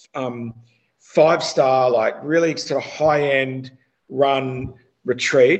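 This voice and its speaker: A man speaks with an Australian accent. His pitch is fairly high and his intonation fairly even. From Australia, Melbourne area. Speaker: cannabis consultant. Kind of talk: casual chat.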